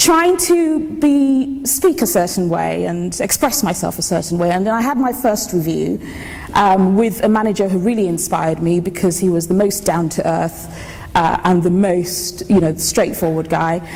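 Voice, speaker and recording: Audible room echo and clear background noise around a woman's speech. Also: medium pitch for a woman, lively intonation. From Nigeria, Lagos (to age 16). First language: Yoruba. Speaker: engineer. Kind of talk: conference talk. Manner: fast.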